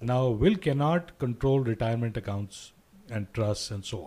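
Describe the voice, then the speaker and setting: At a moderate pace, a man speaks at medium pitch with a dark, mellow tone, a somewhat breathy quality and ordinary pitch variation, captured in a very clean recording against a silent background. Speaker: financial educator. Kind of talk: radio interview.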